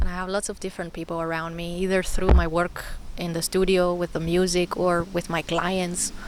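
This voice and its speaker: A woman at a fairly quick pace with monotone, flat intonation. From Greece. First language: Greek. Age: 30s. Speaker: spiritual content creator. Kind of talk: personal spoken vlog. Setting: outdoors in a forest.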